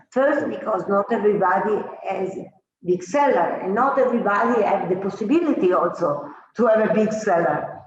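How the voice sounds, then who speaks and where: A woman of medium pitch speaks with lively intonation, and the room echo is audible. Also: moderate pace. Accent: Italian. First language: Italian. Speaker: winemaker. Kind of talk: interview. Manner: halting.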